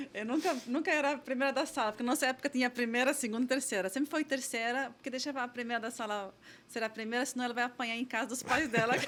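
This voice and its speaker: With noticeable background noise, a woman speaks very fast in a high pitch and fairly even intonation. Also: hardly any pauses. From Lebanon, rural village. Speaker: tech company founder and CEO. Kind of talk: podcast interview. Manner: halting, many repeated words and fillers.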